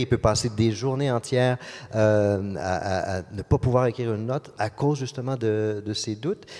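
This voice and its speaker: At a moderate pace, a man with a Quebec accent speaks at a medium pitch with fairly even intonation. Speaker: orchestra conductor. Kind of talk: interview. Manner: halting, many repetitions and fillers.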